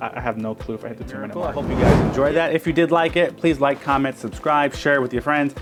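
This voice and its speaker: Over music in the background, a man with a fairly high pitch talks at a very fast pace with hardly any pauses, ordinary pitch variation and big swings in loudness. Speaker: magician. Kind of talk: tutorial. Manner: casual.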